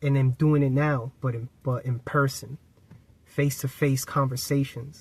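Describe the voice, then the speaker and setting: A man's fairly high, somewhat breathy voice with monotone, flat intonation. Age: 30s. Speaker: spiritual self-help YouTuber. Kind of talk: casual motivational vlog talk to camera.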